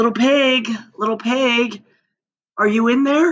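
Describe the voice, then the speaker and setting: Using a put-on character voice pitched high, a woman speaks at a fairly slow pace. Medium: read story. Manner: wheedling, self-justifying.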